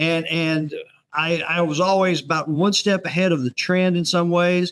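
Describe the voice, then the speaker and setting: This man has a high pitch and a Texan accent, speaking at a moderate pace. His intonation is monotone and flat, and his loudness stays very even. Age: 70s. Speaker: author. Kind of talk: casual chat. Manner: halting, repeats words.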